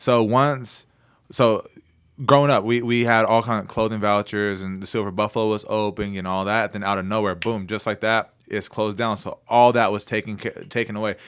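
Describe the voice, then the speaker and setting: Against a silent background in a very clean recording, a man with an American accent uses an ordinary speaking voice at a fairly low pitch, his intonation fairly even. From Oklahoma, Anadarko area. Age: 20s. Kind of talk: casual chat. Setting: studio.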